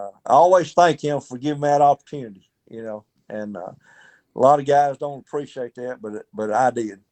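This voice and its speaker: The speaker has a Southern US accent and a moderate pace with ordinary pitch variation. Loudness swings widely throughout. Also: man. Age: 60s. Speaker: retired baseball player. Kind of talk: interview.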